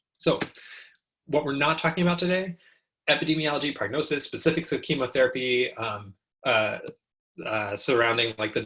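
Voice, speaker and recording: Bright, sharp tone from a man with a fairly high pitch and ordinary pitch variation. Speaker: oncology physician teaching residents. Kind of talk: lecture. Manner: fast; many filler words, um and uh.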